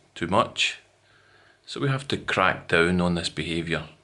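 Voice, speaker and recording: A man with a Scottish accent speaks at a fairly slow pace with a very deep, low pitch. His tone is bright and sharp, over a quiet background. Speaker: English teacher. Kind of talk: educational lesson to camera.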